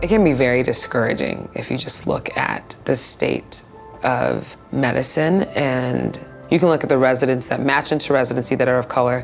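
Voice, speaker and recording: A woman's very deep, low voice with an American accent at a moderate pace over background music. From Los Angeles, California. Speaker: physician, internal medicine resident. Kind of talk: interview answer.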